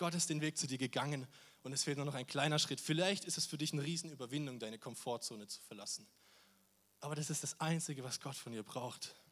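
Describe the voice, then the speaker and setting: Fairly quick, fairly high speech from a man, with ordinary pitch variation. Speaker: volunteer youth preacher. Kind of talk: sermon. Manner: animated.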